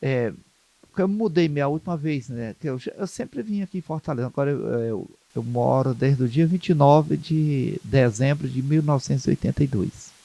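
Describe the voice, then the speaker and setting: Recorded with a dry, close sound and no echo, a man with a dark, mellow tone and fairly high pitch talks at a moderate pace with ordinary pitch variation. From Ceará, Brazil (Maranguape). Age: 60s. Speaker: Umbanda priest and community leader. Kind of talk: interview. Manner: halting, with many repetitions.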